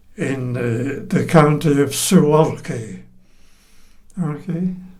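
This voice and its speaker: A man with a fairly high pitch speaks at a very slow pace, with audible room echo. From England. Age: 90s. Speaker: oral history interviewee. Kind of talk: oral history interview. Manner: halting.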